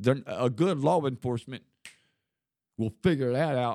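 Heard on a very clean recording with a silent background, a man with a medium pitch talks in a Southern US accent. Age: 60s. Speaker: ex-convict guest. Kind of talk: casual chat.

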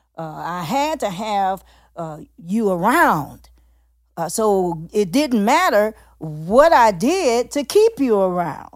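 A woman at medium pitch speaks at a very slow pace, with very wide pitch swings and big swings in loudness, in a very clean recording over a silent background. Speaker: podcast host. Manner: animated, excited.

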